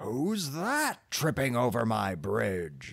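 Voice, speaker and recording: A gruff, put-on character voice from a man, medium in pitch, at a very slow pace. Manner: roaring, gruff.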